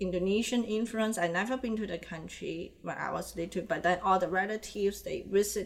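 At a moderate pace, a woman with a Chinese accent speaks at a medium pitch with ordinary variation. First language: Chinese (Mandarin). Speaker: animator and illustrator. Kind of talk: interview.

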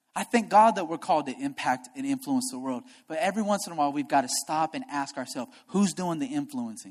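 The delivery is very fast. There are hardly any pauses. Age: young. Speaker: pastor. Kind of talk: sermon. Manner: animated.

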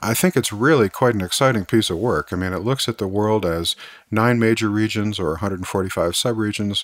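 An ordinary speaking voice from a man with an American accent, fairly low in pitch, at a fairly quick pace with ordinary pitch variation, in a dry, close sound with no echo on a very clean recording over a silent background. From Missouri, US. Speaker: podcast host, energy analyst. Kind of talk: interview conversation.

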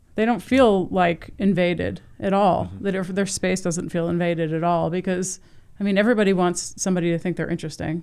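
A woman's ordinary speaking voice, fairly low-pitched and fairly quick, with fairly even intonation. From US Northeast (New Jersey). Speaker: photographer. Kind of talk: casual interview. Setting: studio.

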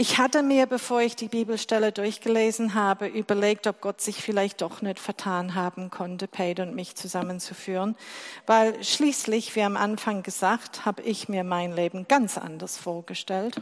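Recorded very cleanly against a silent background, a woman talks at a moderate pace and medium pitch with fairly even intonation. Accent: English. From England. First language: English (speaking German). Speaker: lay preacher. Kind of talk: sermon.

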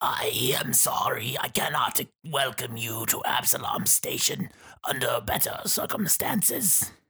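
A raspy, put-on character voice delivered at a fairly slow pace. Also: man, fairly high pitch for a man. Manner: scary, ominous.

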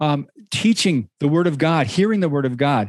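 This man speaks with an American accent at a moderate pace, using lively intonation. The sound is dry and close, with no echo. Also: quiet background. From Michigan. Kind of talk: casual interview. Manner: halting, repetitive starts.

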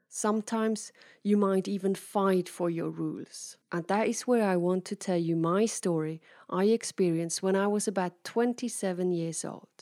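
A woman with a dark, mellow tone and medium pitch speaks at a moderate pace on a very clean recording with a silent background. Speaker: keynote speaker and podcast host. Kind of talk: motivational monologue. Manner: lively.

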